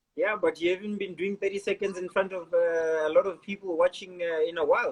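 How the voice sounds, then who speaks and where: Amid noticeable background noise, a man with a high pitch and ordinary pitch variation talks at a fairly quick pace. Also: hardly any pauses. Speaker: podcast host. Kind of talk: casual interview chat. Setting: Instagram live video.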